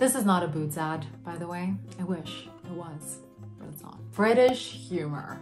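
Music plays in the background as a woman with an American accent speaks at a fairly slow pace. Her pitch is fairly low and her tone upbeat. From Vienna, Austria. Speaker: YouTuber. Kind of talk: casual talk to camera. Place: home room.

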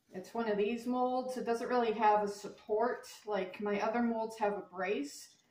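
With hardly any pauses, a woman talks at a fairly high pitch and fairly even intonation, and audible room echo surrounds her. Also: moderate pace. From Canada. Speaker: crafter, video creator; video creator. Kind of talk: tutorial. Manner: halting, many fillers. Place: home room. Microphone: camera far.

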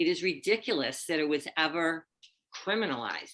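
The tone is bright and sharp. The pace is moderate. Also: woman. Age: 70s. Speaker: resident speaking at public comment. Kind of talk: public comment at council meeting.

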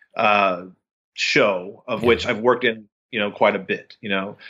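With an unremarkable speaking voice, a man talks at a medium pitch and moderate pace with ordinary pitch variation. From Texas, Austin. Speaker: actor and TV producer. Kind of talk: casual chat.

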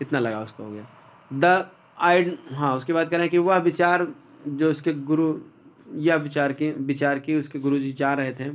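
This man talks at a fairly high pitch with ordinary pitch variation, leaving long, frequent pauses. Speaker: English teacher. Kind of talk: lecture.

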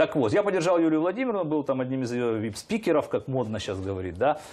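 A man's fairly high voice, very fast, with very wide pitch swings. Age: 50s. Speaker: politician. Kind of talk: interview. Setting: studio. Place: studio. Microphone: lapel.

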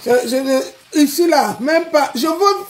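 A woman's high-pitched voice. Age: 40s. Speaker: social media personality; live streamer. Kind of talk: live stream rant. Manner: animated. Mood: angry, combative. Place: home room. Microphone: phone near.

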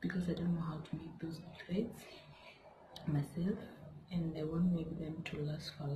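Noticeable background noise sits behind the speaker. She is a woman with a fairly low pitch. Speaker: hair vlogger. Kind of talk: casual vlog chat. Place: home room. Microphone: phone near.

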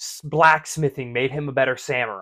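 Over a quiet background, a man speaks with a bright, sharp tone. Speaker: podcast recap vlogger. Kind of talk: casual vlog chat. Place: home room.

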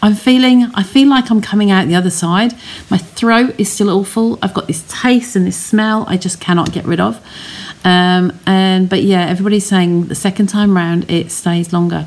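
A hoarse woman speaks at a moderate pace. Her pitch variation is ordinary. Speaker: crafter vlogger. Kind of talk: casual vlog chat. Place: home room. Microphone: phone near.

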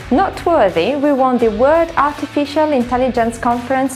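High-pitched woman's voice over faint background music. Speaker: presenter. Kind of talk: corporate presentation.

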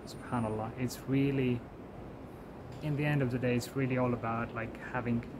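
A man at a medium pitch and moderate pace, with clear background noise.

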